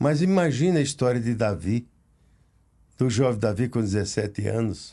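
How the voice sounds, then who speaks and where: Against a quiet background, a man speaks at a moderate pace and medium pitch with a dark, mellow tone and lively intonation. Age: 80s+. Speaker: pastor. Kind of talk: casual chat.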